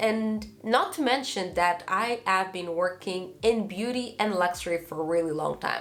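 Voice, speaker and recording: A woman's lively voice at a moderate pace, with noticeable background noise. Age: 20s. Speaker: lifestyle YouTuber. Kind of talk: casual talk to camera.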